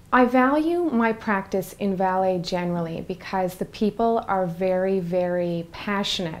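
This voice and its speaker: A woman talks in a Newfoundland accent. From Newfoundland, Canada. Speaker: in-house corporate lawyer. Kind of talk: interview.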